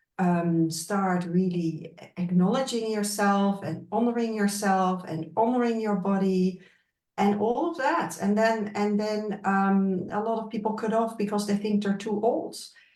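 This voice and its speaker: A woman at a medium pitch with ordinary pitch variation, with audible room echo. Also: fairly slow pace. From Netherlands. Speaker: wellness expert. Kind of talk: interview conversation.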